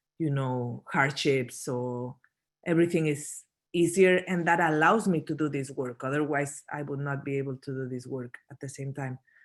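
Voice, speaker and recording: A woman's very deep, low voice at a moderate pace, with ordinary pitch variation and big swings in loudness, in a very clean recording against a silent background. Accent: Spanish. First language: Spanish. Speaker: documentary photographer. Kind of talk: Q&A at a photo talk. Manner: halting, many fillers and restarts.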